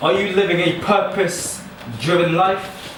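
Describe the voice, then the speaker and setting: A man speaks in a high voice with an American accent. Audible room echo and noticeable background noise surround him. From New York, US. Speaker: spoken word poet. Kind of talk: casual introduction and spoken word performance. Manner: hesitant, lots of fillers.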